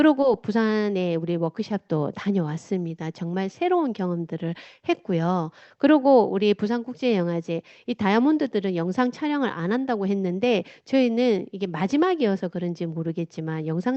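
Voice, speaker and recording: A woman speaks in a strong Gyeongsang accent with lively intonation. Her pace is moderate. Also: medium pitch for a woman. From South Gyeongsang, Korea (Changnyeong). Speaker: motivational speaker. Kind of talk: talk with slides to an audience. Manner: casual.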